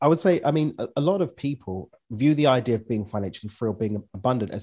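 A man with a London accent, medium pitch, lively intonation and a very fast pace. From East London, England. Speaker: business and mindset coach. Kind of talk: casual interview.

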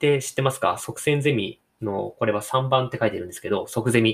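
A man speaks in a somewhat breathy voice. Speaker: podcaster. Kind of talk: casual monologue.

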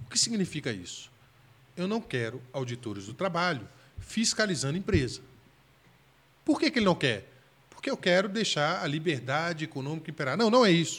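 This man has a fairly high pitch and vocal fry. His pitch swings very widely, and he leaves long, frequent pauses. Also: moderate pace. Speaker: federal public defender. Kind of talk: casual interview chat.

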